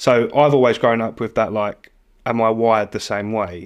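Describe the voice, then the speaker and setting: Against a quiet background, a man speaks with a British accent at a medium pitch. His pace is moderate. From Britain. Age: 30s. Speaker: fitness coach. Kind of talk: casual chat.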